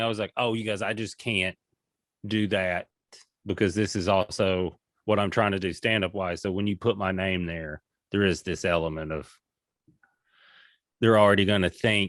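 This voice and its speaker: A man with a Southern US accent speaks at a fairly low pitch, leaving long, frequent pauses, in a dry, close sound with no echo. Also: very clean recording, silent background. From US South, rural Tennessee. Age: 40s. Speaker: comedian. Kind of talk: casual chat. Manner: animated.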